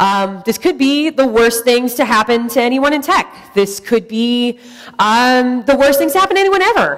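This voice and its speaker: A woman at a moderate pace with very wide pitch swings, over noticeable background noise. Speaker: tech conference speaker. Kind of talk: conference talk. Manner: loud.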